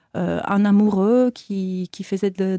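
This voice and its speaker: This woman has a dark, mellow tone and a slight Italian accent. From Italy, Turin. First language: Italian (speaking French). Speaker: choreographer and dancer. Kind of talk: interview.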